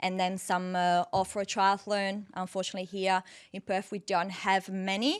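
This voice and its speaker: The speaker has an Italian accent. The intonation is monotone and flat. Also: woman, medium pitch for a woman, moderate pace. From northern Italy, near Venice. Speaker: dietitian and off-road triathlete. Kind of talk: casual interview.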